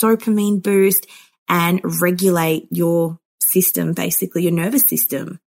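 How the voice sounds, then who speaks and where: Speaking at a moderate pace with an Australian accent, this voice shows ordinary pitch variation. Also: woman. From Melbourne, Australia. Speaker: psychologist. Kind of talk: interview.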